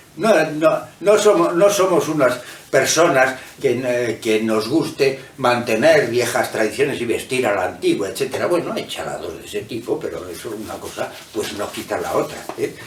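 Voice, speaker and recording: Very wide pitch swings at a moderate pace, with audible room echo and noticeable background noise. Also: man, medium pitch for a man. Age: 60s. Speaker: author and professor. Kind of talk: book presentation talk. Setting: hotel event room with audience. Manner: halting, with many fillers.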